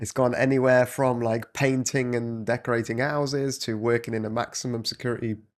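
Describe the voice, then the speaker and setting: With a British accent, a man speaks in a flat monotone at a moderate pace and medium pitch. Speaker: English teacher. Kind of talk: casual conversation with a student.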